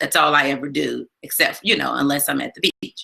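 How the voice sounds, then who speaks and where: The intonation is lively. A woman does the talking. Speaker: live stream host. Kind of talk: casual chat. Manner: loud.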